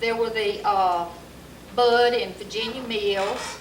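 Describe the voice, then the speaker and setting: In an Alabama accent, a woman of medium pitch speaks at a very slow pace with fairly even intonation, amid audible room echo and noticeable background noise. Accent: Southern US (Alabama). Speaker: local resident recalling history. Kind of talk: oral history interview. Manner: halting.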